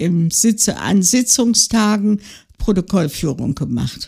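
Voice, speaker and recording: With lively intonation, a woman with a medium pitch speaks in a somewhat breathy voice. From West Prussia, then Thuringia. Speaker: retiree, interviewee sharing life story. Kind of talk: life-story interview. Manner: halting, many fillers.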